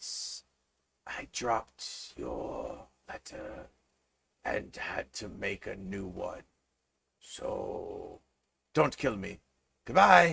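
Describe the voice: Using a put-on character voice, a man speaks very slowly with long, frequent pauses, sounding raspy and hissing.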